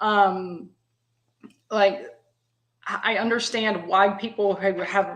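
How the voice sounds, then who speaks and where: A woman speaks at a medium pitch with a Texan accent. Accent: Texan Southern. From US South, East Texas (Tyler). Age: 50s. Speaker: guest. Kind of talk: casual chat. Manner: halting, many fillers.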